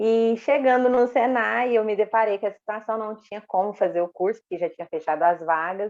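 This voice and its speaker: This is a woman speaking. She has a Minas Gerais accent. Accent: mineiro. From Minas Gerais, Brazil (Uberaba). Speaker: electrical engineer. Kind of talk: interview.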